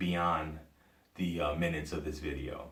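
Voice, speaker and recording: A man with an American accent speaks at a very deep, low pitch, with audible room echo. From US Midwest, Cleveland, Ohio. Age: 40s. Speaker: podcaster. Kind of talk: personal commentary monologue. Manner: halting, many fillers and restarts.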